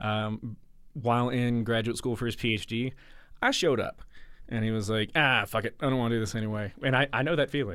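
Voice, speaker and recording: A fairly quick delivery with a Southern US accent and fairly even intonation, on a very clean recording with a silent background. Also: man, medium pitch for a man. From US South, Mississippi. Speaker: musician. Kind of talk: casual chat. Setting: studio.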